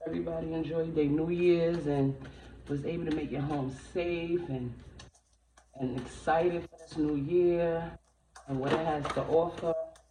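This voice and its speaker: A quiet woman's voice, very deep and low, with monotone, flat intonation, big swings in loudness, and long, frequent pauses, over audible room echo and noticeable background noise. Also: moderate pace. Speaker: tarot reader. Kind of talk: tarot reading. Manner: trying to speak louder.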